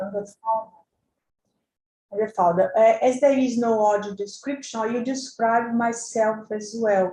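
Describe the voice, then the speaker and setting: A woman's dark, mellow voice, fairly high in pitch, at a fairly slow pace with fairly even intonation. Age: 60s. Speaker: journalist and NGO founder. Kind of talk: conference presentation.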